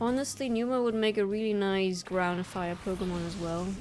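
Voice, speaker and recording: A woman speaks at a moderate pace in a German accent, her pitch medium and its variation ordinary. Room echo is audible. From Germany. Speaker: gaming streamer. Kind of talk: let's play commentary. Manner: casual, hesitant with fillers.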